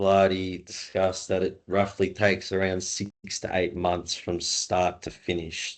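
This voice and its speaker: Over a quiet background, a man talks at a very slow pace. His pitch is very deep and low. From Australia. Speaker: race organization assistant. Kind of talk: webinar presentation. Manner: casual.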